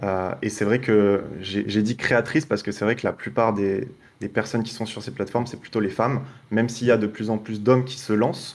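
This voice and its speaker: A normal speaking voice from a man, fairly low in pitch, with fairly even intonation and a fairly quick pace. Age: 20s. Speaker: online marketing agency owner; podcast guest. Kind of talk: podcast interview. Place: home room. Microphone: webcam.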